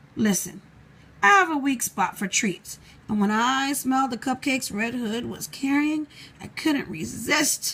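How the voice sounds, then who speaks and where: Here a woman puts on a high character voice. Her pace is moderate. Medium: read story. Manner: playful, sly.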